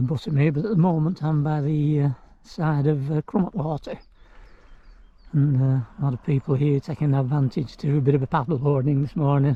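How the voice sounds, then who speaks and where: A man speaks fairly quickly with a fairly high pitch and ordinary pitch variation. His tone is dark and mellow, and somewhat breathy. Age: 70s. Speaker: hiking vlogger. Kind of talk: casual vlog narration. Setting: outdoors. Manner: hesitant, many fillers.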